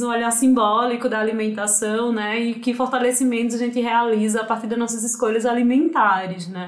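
In a Pernambuco accent, a woman with a high pitch talks at a moderate pace. Audible room echo and noticeable background noise accompany her. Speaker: nutritionist. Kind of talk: podcast interview.

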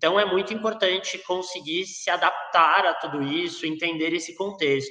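With hardly any pauses, a man talks at a moderate pace in a high pitch, his pitch varying in an ordinary way. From rural interior of São Paulo state, Brazil. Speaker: sports psychologist. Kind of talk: interview.

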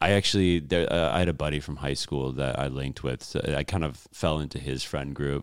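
With an American accent, a man speaks at a fairly quick pace with hardly any pauses, his very deep, low voice carrying vocal fry and fairly even intonation. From Chicago. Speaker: comedian. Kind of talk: casual chat.

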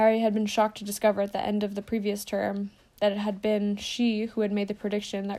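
What you hear is plain reading aloud.

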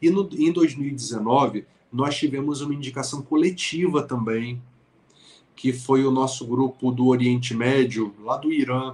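Here is a plain, everyday voice from a man at medium pitch. He talks at a fairly slow pace with fairly even intonation. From Brazil, Niterói (Rio de Janeiro state). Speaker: writer and motivational speaker. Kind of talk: interview conversation.

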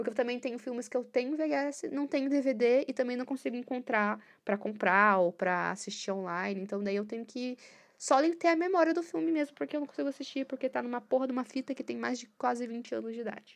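A woman talks with a high pitch and lively intonation. She goes at a fairly quick pace over a quiet background. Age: 20s. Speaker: podcaster. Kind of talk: casual monologue.

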